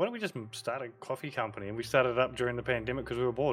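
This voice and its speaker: A man with a New Zealand accent, medium pitch and fairly even intonation. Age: 40s. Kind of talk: casual chat. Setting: video call.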